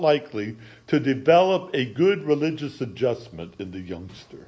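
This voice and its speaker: Vocal fry runs through the speech of a man with an American accent. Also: quiet background. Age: 60s. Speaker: pastor. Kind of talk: sermon. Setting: church.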